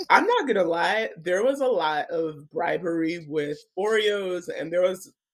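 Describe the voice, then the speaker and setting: At a fairly slow pace, a woman talks in an unremarkable speaking voice at a medium pitch. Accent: American. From Alabama, US South (Nigerian family). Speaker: romance author. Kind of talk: podcast interview.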